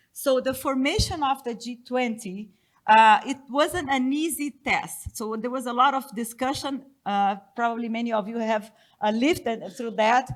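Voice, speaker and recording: A non-native accent on a very clean recording with a silent background. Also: woman, high pitch for a woman, ordinary pitch variation, moderate pace. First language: not English. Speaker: economist panelist. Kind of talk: conference presentation. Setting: conference panel with audience. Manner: halting.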